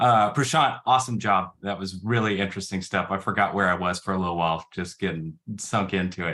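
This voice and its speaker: Speaking at a fairly quick pace with hardly any pauses, a man uses a very deep, low pitch, a bright, sharp tone and ordinary pitch variation. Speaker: app developer and musician. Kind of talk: technical talk.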